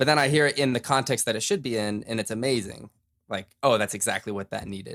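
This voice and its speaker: A man's very fast American-accented speech with a bright, sharp tone, medium pitch, ordinary pitch variation, and a very clean recording with a silent background. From Utah. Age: 20s. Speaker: musician and podcaster. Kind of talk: casual chat.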